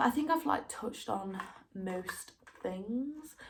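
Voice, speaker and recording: In a room with audible echo, a woman talks fairly slowly at a medium pitch, her voice somewhat breathy. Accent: Derby. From East Midlands, England (Derby). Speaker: university student vlogger. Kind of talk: casual vlog chat. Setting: home recording during quarantine. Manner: casual, filler-heavy.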